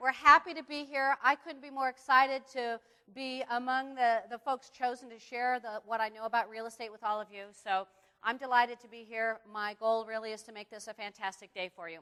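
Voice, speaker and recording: At a fairly quick pace, a woman with a fairly high pitch talks in a bright, sharp, animated tone, her loudness rising and falling in big swings. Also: ordinary pitch variation. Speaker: seminar instructor. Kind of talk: live seminar. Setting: stage with audience. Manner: fast.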